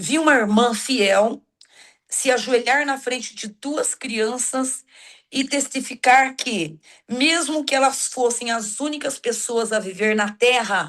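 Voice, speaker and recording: Over a quiet background, a woman speaks at a very slow pace in a high pitch with ordinary pitch variation. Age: 60s. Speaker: church teacher. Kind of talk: religious lesson. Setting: video call.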